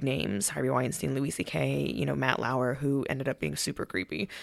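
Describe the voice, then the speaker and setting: Vocal fry colors this voice with an American accent. The pace is fairly quick. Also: woman. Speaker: social worker. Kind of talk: casual chat.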